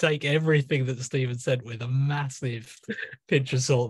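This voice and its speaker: Somewhat breathy and fairly even in intonation, a man talks at a moderate pace against a quiet background, the sound dry with no echo. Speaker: guest. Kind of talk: informal introduction before poetry reading. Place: home room. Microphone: video call.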